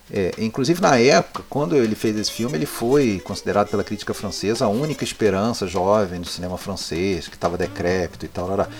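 Over noticeable background noise, a man talks at a very fast pace with hardly any pauses. His fairly low voice has lively intonation. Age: 40s. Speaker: film podcaster, cinephile. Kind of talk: casual chat.

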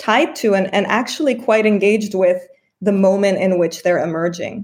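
In an ordinary speaking voice, a woman talks at medium pitch and a moderate pace. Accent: American. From California, US. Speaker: French cinema professor. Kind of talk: casual interview.

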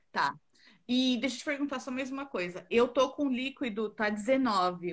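Lively intonation marks a woman's fairly slow speech. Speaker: pregnant woman asking a question. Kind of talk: live Q&A conversation. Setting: video call on a live stream.

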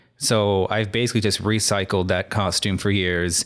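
Against a silent background in a very clean recording, a man with a fairly low pitch and an unremarkable speaking voice keeps his intonation fairly even. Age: 20s. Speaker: podcast co-host. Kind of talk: casual chat.

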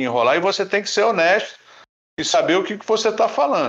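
A man is speaking. The background is quiet. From Laguna, Santa Catarina, southern Brazil. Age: 60s. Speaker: surf competition judge. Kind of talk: casual chat.

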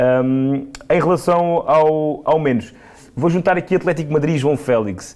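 A man with a normal speaking voice talks at a fairly slow pace with very even loudness. His pitch is fairly high, with ordinary pitch variation. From Portugal, Alentejo (Serpa). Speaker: football pundit. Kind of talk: casual football discussion.

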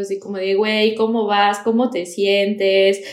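A woman of medium pitch speaks in flat, monotone intonation at a moderate pace, with audible room echo and noticeable background noise. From Mexico, Toluca. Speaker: content creator, Mexican living abroad. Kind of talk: casual chat. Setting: video call.

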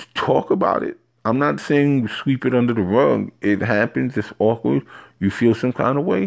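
On a very clean recording with a silent background, a man with a New York accent speaks at a moderate pace, medium in pitch with lively intonation. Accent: New York City. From New York City, Harlem. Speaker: solo podcaster. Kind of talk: casual monologue.

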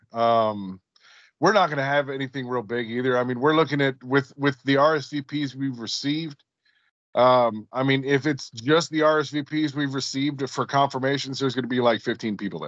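Against a quiet background, a man talks at a fairly quick pace in a normal speaking voice. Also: medium pitch for a man, fairly even intonation. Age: 40s. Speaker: podcast co-host. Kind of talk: casual chat.

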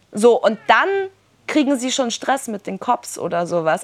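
Delivered at a fairly slow pace, this is a plain, everyday voice. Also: woman. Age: 20s. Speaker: social worker and activist speaker. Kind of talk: workshop talk. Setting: summer camp workshop with audience.

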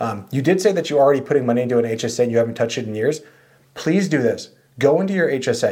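Very fast speech comes from a man with lively intonation. His medium-pitched voice has a dark, mellow tone. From San Diego, California. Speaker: financial advisor podcast host. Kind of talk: casual chat. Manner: fast talker, slurs words at times.

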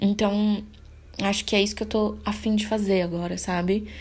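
A somewhat breathy woman speaks at a moderate pace with monotone, flat intonation. Audible room echo surrounds her voice. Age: 20s. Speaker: podcaster. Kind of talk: solo monologue. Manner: casual, unscripted; halting.

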